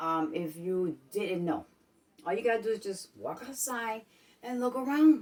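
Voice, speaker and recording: In a New York accent, a woman speaks fairly slowly with a fairly high pitch. Her tone is animated, with very wide pitch swings. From Brooklyn, New York. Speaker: vlogger. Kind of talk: casual vlog talk. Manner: animated, repetitive.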